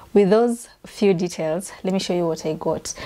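With ordinary pitch variation, a woman speaks in a dark, mellow tone. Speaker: home vlogger. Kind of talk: casual vlog chat. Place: home room. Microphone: lapel.

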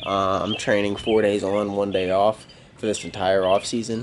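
Noticeable background noise surrounds the recording. A man speaks at a moderate pace in a fairly low voice. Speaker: fitness vlogger. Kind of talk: casual vlog chat. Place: street. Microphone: phone near.

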